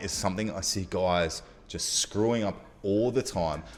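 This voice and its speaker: A man with an Australian accent. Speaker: dating coach. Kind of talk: youtube tutorial.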